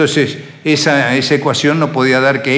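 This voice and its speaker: With an Entre Ríos Argentine accent, a man talks at a moderate pace amid noticeable background noise and audible room echo. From Argentina, Crespo, Entre Ríos. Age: 70s. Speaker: agribusiness entrepreneur. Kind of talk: interview life story.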